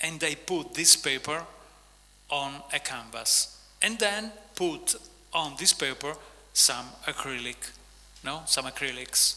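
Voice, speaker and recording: A man with an Italian accent at a fairly high pitch, very slow pace, long, frequent pauses and ordinary pitch variation. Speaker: author and visual artist. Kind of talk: on-stage interview. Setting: stage with audience. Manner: halting.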